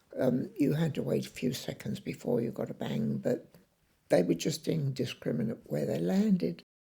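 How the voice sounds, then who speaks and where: Her voice very deep and low, a woman speaks at a moderate pace in a dark, mellow tone with vocal fry and very wide pitch swings. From South London. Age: 80s+. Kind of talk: oral history interview.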